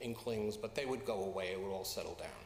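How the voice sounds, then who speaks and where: A man speaks with an American accent. The recording carries noticeable background noise and audible room echo. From US Midwest. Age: 60s. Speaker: pastor. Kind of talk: sermon. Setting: church. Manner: halting.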